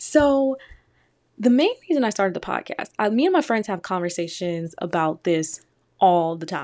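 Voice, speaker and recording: With an American accent, a woman speaks at a medium pitch. Her pitch swings very widely against a quiet background. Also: moderate pace. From Detroit, Michigan, US. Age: 20s. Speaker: podcast host. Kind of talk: solo casual commentary.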